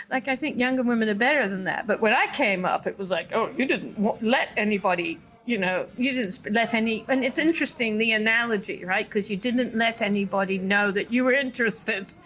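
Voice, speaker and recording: With music in the background, a woman talks at a fairly quick pace and fairly high pitch, with ordinary pitch variation and hardly any pauses. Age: 60s. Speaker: business consultant. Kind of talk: interview.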